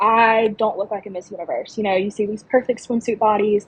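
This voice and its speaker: A woman with an Alabama accent talks at a fairly quick pace in a fairly high pitch, with noticeable background noise. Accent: Southern US (Alabama). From US South, small-town Alabama. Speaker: pageant contestant. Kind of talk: podcast interview.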